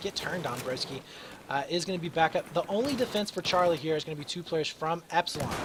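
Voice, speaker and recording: A man talks at a very fast pace in a high pitch, with ordinary pitch variation. Noticeable background noise is present. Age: 20s. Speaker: esports caster. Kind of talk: live commentary. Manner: animated; frequent filler words.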